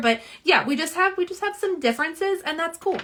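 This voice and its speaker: A woman with a slight Southern US accent, talking at a fairly quick pace with very wide pitch swings, over noticeable background noise. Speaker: nail polish swatcher and live streamer. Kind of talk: casual live-stream chat. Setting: live stream at home. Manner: chatty, many fillers.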